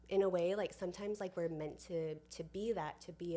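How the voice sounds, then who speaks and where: A soft-spoken woman with a dark, mellow tone, fairly low pitch, ordinary pitch variation and a moderate pace. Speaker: community builder. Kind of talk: podcast interview. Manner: quiet.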